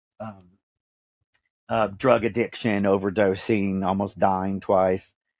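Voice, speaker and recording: In an American accent, a man talks at a fairly slow pace in a fairly low pitch with monotone, flat intonation, captured on a very clean recording with a silent background. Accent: Texan, comes out at times. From Texas (Dallas). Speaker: podcast host. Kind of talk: interview, personal story.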